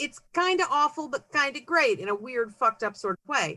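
A woman with an American accent uses a raised, projected voice at a high pitch with very wide pitch swings. The tone is bright and sharp, and the sound is dry and close with no echo. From San Francisco Bay Area, California. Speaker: author. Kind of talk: casual interview chat.

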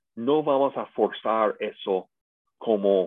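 In an English accent, a man speaks at a medium pitch. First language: English (speaking Spanish). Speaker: pastor and seminar teacher. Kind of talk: lecture.

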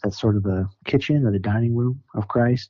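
A man with an American accent, a normal speaking voice, medium pitch, fairly even intonation and a fairly quick pace. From US Upper Midwest (Sioux Falls, South Dakota). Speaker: ministry worker and community organizer. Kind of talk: casual interview.

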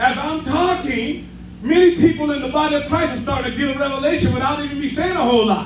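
Against noticeable background noise, a man with an extremely high pitch for a man speaks in an animated tone. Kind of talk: sermon. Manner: animated, call-and-response preaching with exclamatory 'yes' and 'say amen' prompts.

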